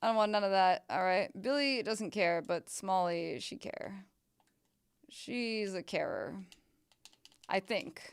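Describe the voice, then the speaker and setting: A woman speaks at a very slow pace with long, frequent pauses and ordinary pitch variation. The recording is very clean, with a silent background. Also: medium pitch for a woman. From Canada. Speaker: video game streamer. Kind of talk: casual live-stream chat with gameplay. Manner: loud and very reactive.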